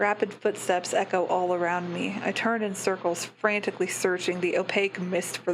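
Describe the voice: Fairly even intonation in plain reading aloud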